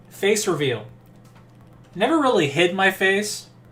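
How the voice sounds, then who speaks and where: This man sounds nasal. His tone is relaxed. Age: 30s. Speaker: YouTuber and live streamer. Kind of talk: casual live stream chat. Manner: relaxed, rambling.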